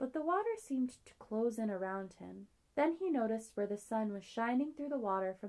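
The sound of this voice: Lively intonation colors an unforced reading voice.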